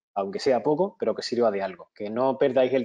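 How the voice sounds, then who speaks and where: This man speaks with a Spanish accent at a medium pitch. His pace is fairly quick. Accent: Spanish (Spain). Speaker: webinar presenter, IT auditor and consultant. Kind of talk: webinar lecture. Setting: online webinar. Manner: halting, many fillers and restarts.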